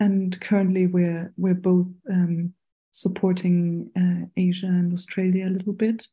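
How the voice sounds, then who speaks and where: A woman with a German accent, somewhat breathy and dark, mellow in tone, at a medium pitch and fairly slow pace, with monotone, flat intonation and very even loudness, in a very clean recording with a silent background. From Germany, Berlin. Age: 30s. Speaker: international community coordinator. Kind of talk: casual chat.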